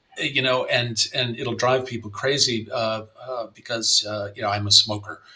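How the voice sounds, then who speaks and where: Speaking in a monotone, flat intonation, a man has an American accent and a medium pitch. Noticeable background noise runs underneath. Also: moderate pace. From US South, Miami, Florida. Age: 60s. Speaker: playwright and novelist. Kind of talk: interview conversation. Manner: halting, many fillers and repetitions.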